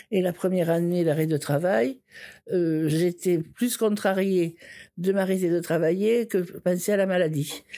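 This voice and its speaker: At a fairly slow pace, a woman speaks in a dark, mellow tone with fairly low pitch and ordinary pitch variation. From southern France, Ariège. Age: 70s. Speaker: organ transplant recipient and torch bearer. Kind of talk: personal testimony. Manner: halting, with many repetitions.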